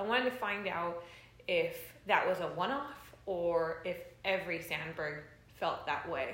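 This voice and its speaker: With an American accent, a woman speaks at a fairly slow pace and medium pitch with lively intonation. Audible room echo and noticeable background noise fill the recording. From Los Angeles, US. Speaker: bass player. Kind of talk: casual chat. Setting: at home.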